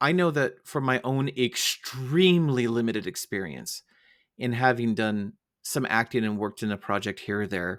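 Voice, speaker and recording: With an American accent and a normal speaking voice, a man talks at a moderate pace. His pitch is medium and his intonation lively. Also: very clean recording, silent background. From United States. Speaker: podcast host. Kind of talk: interview.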